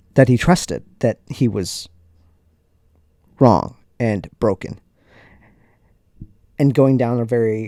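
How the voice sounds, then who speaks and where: A man's very slow speech with an American accent, dark and mellow in tone, in a dry, close sound with no echo. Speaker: podcast host. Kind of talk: casual podcast monologue.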